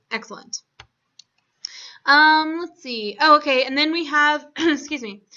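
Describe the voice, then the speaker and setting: A woman speaks at a fairly slow pace. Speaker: tutor. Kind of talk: one-on-one lesson. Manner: hesitant fillers.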